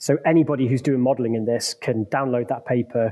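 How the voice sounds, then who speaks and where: Dark and mellow in tone, the voice moves at a fairly quick pace with fairly even intonation, sounding dry and close with no echo. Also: man. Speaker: structural engineer and university researcher. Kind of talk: interview, explanatory. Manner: hesitant, filler words.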